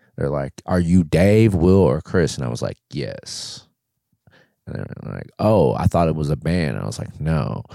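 A man's very deep, low voice with a dark, mellow tone, lively intonation and big swings in loudness, at a fairly slow pace. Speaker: podcast co-host. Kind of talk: casual comedy chat. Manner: profane, jokey.

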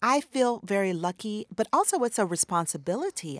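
A woman's voice comes through dry and close, with no echo at all. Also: very clean recording, silent background. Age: 40s. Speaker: novelist. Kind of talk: interview.

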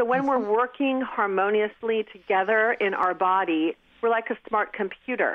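Her pitch varies in an ordinary way as the woman uses a normal speaking voice. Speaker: medical device company co-founder. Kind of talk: interview.

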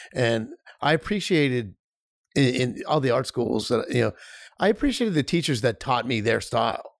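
A man with an ordinary speaking voice talks at a moderate pace and medium pitch. His intonation is lively and his loudness very even. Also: very clean recording, silent background. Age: 50s. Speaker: film director. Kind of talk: casual chat.

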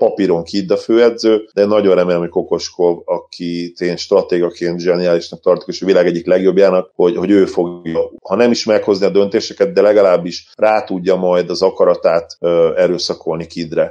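Talking at a fairly quick pace, a man speaks with hardly any pauses. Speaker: basketball podcast co-host. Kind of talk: casual chat.

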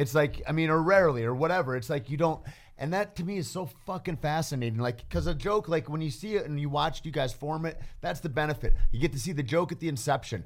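A man talks at a very fast pace with hardly any pauses. His pitch is fairly high, with ordinary variation. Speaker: podcast guest. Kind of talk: casual chat. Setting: studio.

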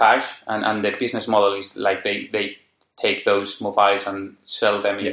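A man speaks with a Spanish accent. His pitch is fairly low and his pace fairly quick. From Spain, Madrid. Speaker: software developer. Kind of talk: casual chat. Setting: in person, face to face. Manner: halting.

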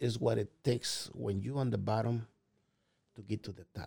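Speaking with a Mexican accent, a man with a medium pitch and a somewhat breathy voice uses ordinary pitch variation while his loudness swings widely. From Mexico (Puebla). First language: Spanish. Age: 50s. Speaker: restaurant owner. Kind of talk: casual interview.

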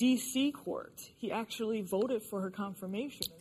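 A woman's somewhat breathy voice at a medium pitch, with ordinary pitch variation. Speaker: political commentator. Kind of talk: panel discussion. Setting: studio with audience.

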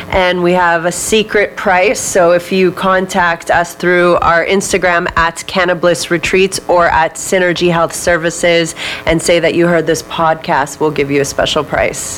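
A woman's fairly low voice, monotone and flat, at very even loudness over noticeable background noise. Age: 20s. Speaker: wellness retreat founder and marketer. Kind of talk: casual interview. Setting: studio.

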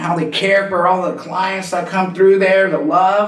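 A man with an American accent talks at a high pitch over noticeable background noise. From California, Santa Cruz. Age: 40s. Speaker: professional skateboarder in recovery. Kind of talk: casual interview, personal story.

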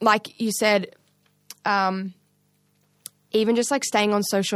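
The speaker has an Australian accent and monotone, flat intonation, heard against a quiet background. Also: woman. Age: 20s. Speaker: drummer, singer and songwriter. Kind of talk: casual chat.

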